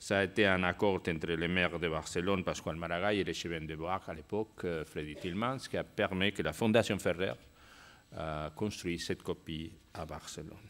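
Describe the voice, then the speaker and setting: A man's very deep, low voice with a Spanish accent, fairly even intonation and a moderate pace. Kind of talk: conference talk. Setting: stage with audience. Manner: halting.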